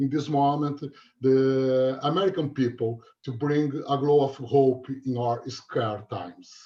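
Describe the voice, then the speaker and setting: A man speaks at a fairly slow pace. His pitch is fairly high. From Brazil. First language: Portuguese. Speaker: university researcher. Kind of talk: academic presentation. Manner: halting.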